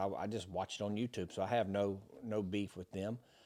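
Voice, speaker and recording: A man's fairly low voice with monotone, flat intonation at a fairly quick pace, in a very clean recording with a silent background. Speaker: former Secret Service agent and podcast host. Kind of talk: casual chat. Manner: fast.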